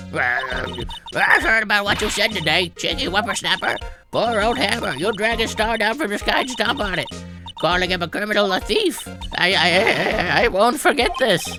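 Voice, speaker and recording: A put-on character voice at a fairly high pitch and moderate pace, with clear music in the background. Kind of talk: game dub, all characters voiced. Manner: angry.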